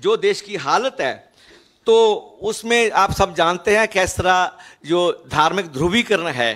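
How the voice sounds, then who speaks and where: Very slow pace with ordinary pitch variation. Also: man, high pitch for a man, quiet background. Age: 70s. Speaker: intellectual commentator. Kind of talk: interview; press conference statement. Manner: halting. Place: hall. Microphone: handheld.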